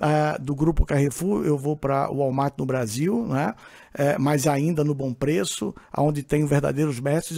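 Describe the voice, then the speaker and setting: The man's pace is moderate. His voice sits at a fairly high pitch. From Brazil, Pernambuco (Northeast), moved to São Paulo young. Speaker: supermarket executive, CEO. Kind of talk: podcast interview. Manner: hesitant, many filler sounds.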